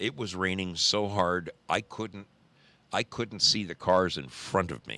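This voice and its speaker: Speaking at a fairly slow pace, a man has a very deep, low pitch, a bright, sharp tone and vocal fry. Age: 60s. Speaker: livestream host, motorcyclist. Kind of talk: casual live-stream chat. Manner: halting, self-correcting.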